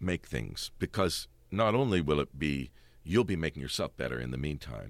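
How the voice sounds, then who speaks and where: Speaking at a moderate pace, a man with a very deep, low pitch and vocal fry uses lively intonation. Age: 50s. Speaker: stage actor. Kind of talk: interview. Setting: studio.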